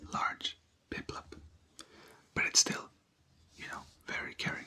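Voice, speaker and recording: Someone is whispering. Background noise is noticeable. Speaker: ASMR creator. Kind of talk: ASMR roleplay, soft-spoken clinic worker. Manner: soft-spoken, whispered.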